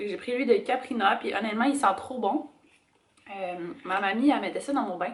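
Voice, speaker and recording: A woman with a Quebec accent and ordinary pitch variation. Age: 20s. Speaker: lifestyle vlogger. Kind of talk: casual talk to camera.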